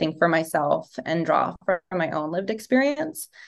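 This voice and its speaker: A woman with lively intonation and a normal speaking voice talks at a moderate pace. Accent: American. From Los Angeles, raised by Serbian family. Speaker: design professor. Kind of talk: interview.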